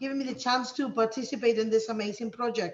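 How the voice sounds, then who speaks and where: Fairly high-pitched for a woman, her monotone, flat voice moves at a fairly quick pace amid audible room echo. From Spain. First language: Spanish. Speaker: teacher. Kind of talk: conference presentation. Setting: video call. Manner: hesitant, many fillers.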